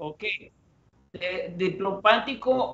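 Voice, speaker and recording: The speaker has a Spanish accent and lively intonation. Delivery is very slow. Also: man. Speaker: master blender. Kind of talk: live tasting presentation. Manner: halting.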